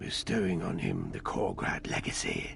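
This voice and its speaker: Using a put-on character voice, a man talks at a fairly low pitch and a moderate pace amid clear background noise. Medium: machinima. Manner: formal, archaic, measured.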